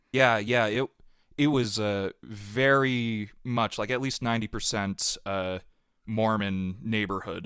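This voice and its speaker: With a General American accent, a man speaks at a very slow pace in a fairly low pitch and fairly even intonation, the sound dry and close with no echo. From Utah, US. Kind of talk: testimony. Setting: podcast interview.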